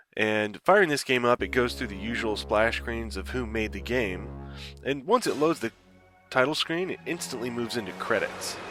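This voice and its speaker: Over music in the background, a man with a fairly low pitch speaks at a moderate pace, his pitch swinging very widely. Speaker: game reviewer. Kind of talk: video game review voice-over. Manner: casual.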